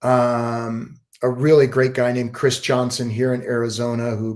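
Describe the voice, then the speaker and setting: A man speaks in an unremarkable speaking voice at medium pitch and a moderate pace. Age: 60s. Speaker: business coach. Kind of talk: panel discussion.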